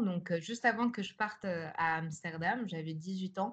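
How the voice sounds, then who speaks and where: Fairly low in pitch, a woman speaks at a very slow pace. Her pitch varies in an ordinary way. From France, Paris suburbs. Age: 20s. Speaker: art student and artist. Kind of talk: interview. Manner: halting, many hesitations.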